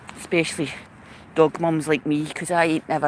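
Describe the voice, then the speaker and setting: A woman speaks fairly quickly in a very deep, low pitch. Noticeable background noise sits behind her. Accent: Glaswegian. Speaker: dog trainer. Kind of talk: vlog monologue. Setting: outdoors. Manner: casual, sweary.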